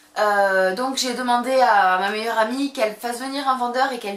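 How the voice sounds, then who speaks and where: A woman's fairly high-pitched voice with ordinary pitch variation, audible room echo and noticeable background noise. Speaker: beauty vlogger. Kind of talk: casual haul vlog. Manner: fast; animated.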